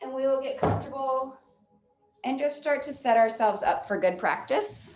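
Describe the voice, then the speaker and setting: Lively intonation from a woman speaking at moderate speed. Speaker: yoga instructor. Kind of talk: guided yoga class with meditation. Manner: loud.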